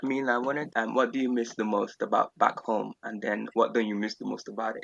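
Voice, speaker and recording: The speaker has a strong Nigerian accent and talks at a fairly quick pace. The sound is dry and close, with no echo. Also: man. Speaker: podcast co-host. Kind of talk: casual chat. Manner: halting, many fillers.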